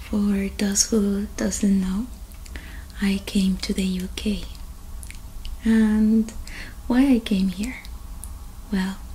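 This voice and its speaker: With long, frequent pauses, a woman speaks at a very slow pace with monotone, flat intonation over light background noise. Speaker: ASMR creator. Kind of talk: soft-spoken show-and-tell vlog. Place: home room. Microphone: earbuds.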